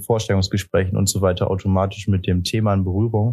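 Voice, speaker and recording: Over a silent background in a very clean recording, a man speaks very fast at a fairly low pitch, his dark, mellow tone held to a monotone, flat intonation. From Osnabrück, northwestern Germany. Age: 20s. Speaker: intern. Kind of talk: interview. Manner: hesitant, many fillers.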